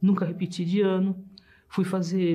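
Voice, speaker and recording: A woman speaks in a dark, mellow tone with a fairly low pitch, somewhat breathy and with monotone, flat intonation. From Brazil (São Paulo). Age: 70s. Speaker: engineer giving testimony. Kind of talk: testimony.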